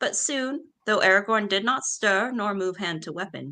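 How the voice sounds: Against a quiet background, the words are delivered in a natural reading voice.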